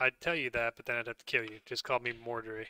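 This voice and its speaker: A put-on character voice, raspy and delivered in a monotone, flat intonation at a fairly quick pace. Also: man, medium pitch for a man. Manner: indifferent, cryptic.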